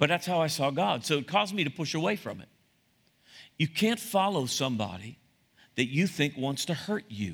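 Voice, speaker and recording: On a very clean recording with a silent background, a man with a fairly high pitch and vocal fry speaks at a moderate pace, with very wide pitch swings and long, frequent pauses. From US, Italian-American family. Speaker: pastor. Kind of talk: sermon. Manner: halting.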